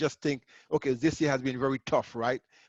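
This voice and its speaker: In a Caribbean accent, a man speaks at a moderate pace over a quiet background. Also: dry, close sound with no echo. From Grenada. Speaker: accountant and entrepreneur. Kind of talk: webinar presentation. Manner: casual, repetitive.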